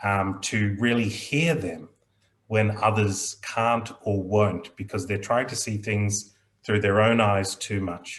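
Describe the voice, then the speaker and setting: A man's fairly low, somewhat breathy voice, very slow and calm in tone. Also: fairly even intonation. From Australia, child of Indian immigrants. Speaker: aviation mediator. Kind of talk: panel discussion. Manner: slow, measured.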